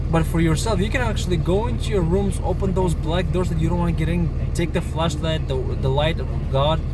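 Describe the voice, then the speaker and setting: Over noticeable background noise and audible room echo, a man with a very deep, low pitch speaks at a fairly quick pace in a monotone, flat intonation with very even loudness. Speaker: video blogger. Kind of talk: casual religious monologue. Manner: halting.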